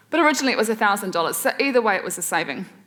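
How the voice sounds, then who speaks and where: A woman with a New Zealand accent talks at a very fast pace. Her voice is fairly high, with lively intonation. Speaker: waste reduction expert and speaker. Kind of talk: presentation talk.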